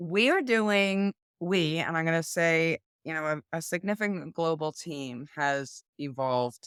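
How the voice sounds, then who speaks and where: A woman with a plain, everyday voice speaks at fairly low pitch, the sound dry and close with no echo. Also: ordinary pitch variation, fairly slow pace. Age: 60s. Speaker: executive coach and mental health advocate. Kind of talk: interview conversation. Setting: video call.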